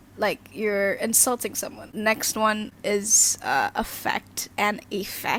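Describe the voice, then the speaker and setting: Very slow speech with an Indonesian accent. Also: woman. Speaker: youtuber. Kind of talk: casual vlog talk. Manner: halting, many fillers.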